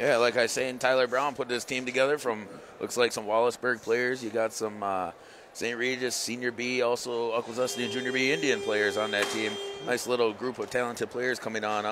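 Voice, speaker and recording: Music plays behind a man with an American accent. His intonation stays fairly even. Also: medium pitch for a man, fairly quick pace. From Seneca Nation, New York. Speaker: lacrosse color commentator, radio broadcaster. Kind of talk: live sports commentary. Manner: loud. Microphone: initially too far from mic.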